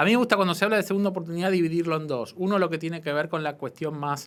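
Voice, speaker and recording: This man speaks very fast in a strong Buenos Aires accent. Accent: strong Argentine (Buenos Aires). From Argentina, Buenos Aires. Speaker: entrepreneurship policy official. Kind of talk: interview.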